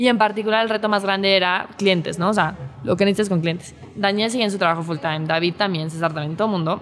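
Noticeable background noise sits behind a woman talking at a very fast pace. Her medium pitch shows ordinary variation. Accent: Mexico City. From Mexico City. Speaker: startup employee. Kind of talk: interview testimony. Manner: formal.

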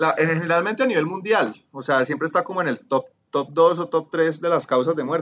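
At a moderate pace, a man talks with a fairly high pitch. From Colombia, Cali. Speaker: urban transport planner. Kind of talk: casual interview.

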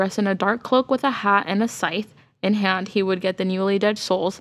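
A woman speaks at a moderate pace and medium pitch, with fairly even intonation. It is a plain, everyday voice. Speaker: podcast co-host. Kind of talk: casual chat. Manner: laughs often.

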